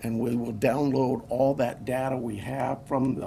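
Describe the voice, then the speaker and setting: Noticeable background noise surrounds a man speaking at a moderate pace. His pitch is medium. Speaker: county sheriff. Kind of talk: press conference. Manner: soft-spoken; halting, many fillers.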